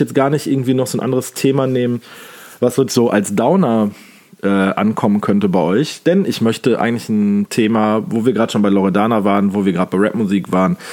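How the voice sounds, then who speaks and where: Pitched at a medium level, a man talks at a fairly quick pace with lively intonation. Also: very even loudness. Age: 30s. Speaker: podcast host. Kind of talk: casual monologue. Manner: animated.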